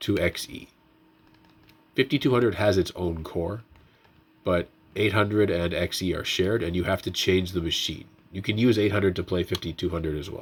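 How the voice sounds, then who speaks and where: Ordinary pitch variation, with long, frequent pauses. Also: man, very deep, low pitch for a man. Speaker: tech youtuber, retro handheld firmware developer. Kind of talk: casual tutorial and update. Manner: fast.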